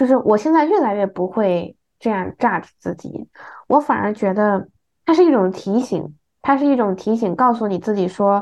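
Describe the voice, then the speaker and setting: A woman's normal speaking voice, fairly high, with lively intonation. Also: moderate pace. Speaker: podcast co-host. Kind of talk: casual chat.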